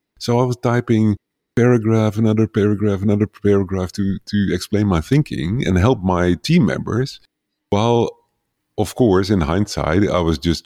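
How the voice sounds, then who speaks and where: On a very clean recording with a silent background, a man's fairly low, dark and mellow voice comes through dry and close with no echo, at a moderate pace and with lively intonation. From Netherlands. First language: Dutch. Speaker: leadership coach for entrepreneurs. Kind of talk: interview conversation.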